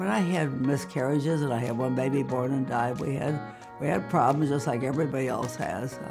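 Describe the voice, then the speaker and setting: A woman at a moderate pace over music in the background. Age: 80s+. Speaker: mother and grandmother giving life advice. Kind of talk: interview answer. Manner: witty, lively.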